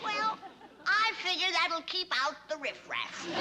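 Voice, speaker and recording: Someone performs a put-on character voice at a fairly slow pace, with ordinary pitch variation. Loud background noise runs underneath. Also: woman, extremely high pitch for a woman. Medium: short film. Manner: bossy, sharp-tongued.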